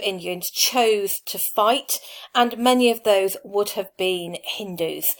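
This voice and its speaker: A woman with a Lancashire accent, medium in pitch, ordinary pitch variation and a fairly slow pace. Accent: Blackpool. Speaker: teacher. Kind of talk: tutorial. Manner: conversational, with filler ums.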